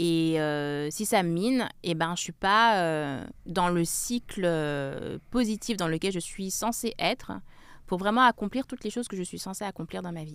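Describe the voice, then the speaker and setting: In a very clean recording with a silent background, a woman speaks at a fairly low pitch. She goes at a fairly slow pace with lively intonation. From France, Grenoble. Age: 30s. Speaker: author and journalist. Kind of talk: interview. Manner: hesitant, many fillers.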